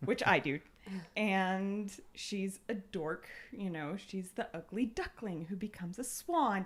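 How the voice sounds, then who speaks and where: An ordinary speaking voice from a woman, medium-pitched, with ordinary pitch variation and a fairly slow pace. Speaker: podcast panelist. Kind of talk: casual chat.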